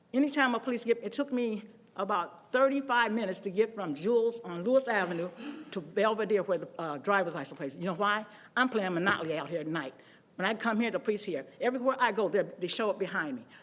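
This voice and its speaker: An American accent marks this woman's very fast speech, which has a medium pitch and lively intonation. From Waukegan, Illinois, US Midwest. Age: 80s+. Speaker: resident speaking at public comment. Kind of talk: public comment at council meeting. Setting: city council chamber. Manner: animated.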